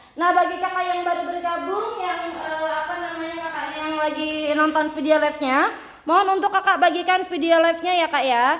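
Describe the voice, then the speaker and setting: A woman's shrill, animated voice at an extremely high pitch, fairly quick pace, with audible room echo. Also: hardly any pauses. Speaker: live-stream seller. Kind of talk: sales pitch. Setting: live stream.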